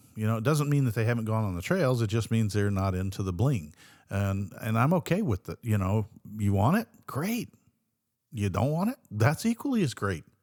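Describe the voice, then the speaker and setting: Recorded very cleanly against a silent background, a man at medium pitch talks at a moderate pace with lively intonation, the sound dry and close with no echo. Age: 60s. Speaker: podcast co-host. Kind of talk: casual chat. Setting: studio.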